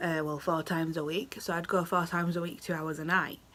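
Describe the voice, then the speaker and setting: With a British accent and a bright, sharp tone, a woman speaks at a fairly low pitch and moderate pace. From United Kingdom. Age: 20s. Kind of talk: casual talk to camera.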